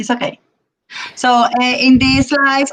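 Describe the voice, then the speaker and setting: A woman's high, bright, sharp voice with a Spanish accent. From Puerto Rico. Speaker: Spanish teacher. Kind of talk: presentation to parents on video call. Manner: halting, many fillers.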